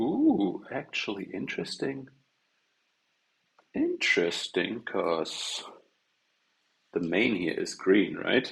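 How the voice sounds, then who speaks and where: Pausing long and often, the man talks at a very slow pace. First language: not English. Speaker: game developer live streamer. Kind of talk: live coding stream chat. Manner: casual rambling, animated.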